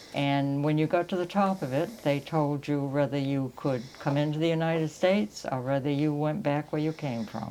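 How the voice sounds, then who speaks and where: At a moderate pace and with hardly any pauses, a woman speaks in a very deep, low voice with ordinary pitch variation. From Maine, Round Pond (coastal Lincoln County). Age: 80s+. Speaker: local elder sharing family history. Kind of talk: oral history interview.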